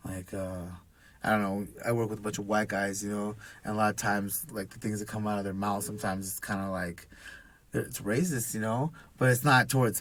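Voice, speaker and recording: In a very clean recording with a silent background, a man talks at a moderate pace. He speaks with a Pacific Northwest accent. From Washington state, Redmond. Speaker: business owner and single dad. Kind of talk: casual chat. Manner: halting, many fillers.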